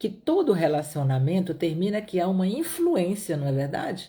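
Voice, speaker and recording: A woman with a Pará accent, fairly low in pitch, dark and mellow in tone, somewhat breathy, at a fairly slow pace, in a very clean recording with a silent background. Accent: Brazilian Portuguese, northern Pará. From Brazil, Piauí (Northeast). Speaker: Bible teacher. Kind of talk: Bible study livestream. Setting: live stream.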